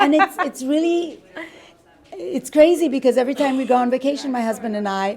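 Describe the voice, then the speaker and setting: The speech comes at a fairly quick pace with lively intonation. There is noticeable background noise. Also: woman, high pitch for a woman. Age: 60s. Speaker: wedding dress designer. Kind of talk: casual interview. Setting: bridal boutique.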